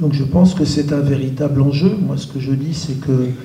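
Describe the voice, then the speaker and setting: A man speaks at a fairly slow pace in a flat monotone, his voice fairly high-pitched, with noticeable background noise and audible room echo. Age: 70s. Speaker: activist. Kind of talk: panel talk. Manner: hesitant, many fillers.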